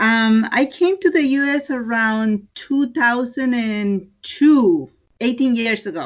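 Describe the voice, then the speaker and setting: Speaking with a Spanish accent, a woman has a high pitch and lively intonation. Her pace is very slow. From Mexico, Oaxaca (town of Mitla). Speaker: clothing entrepreneur. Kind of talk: interview. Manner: hesitant, many fillers.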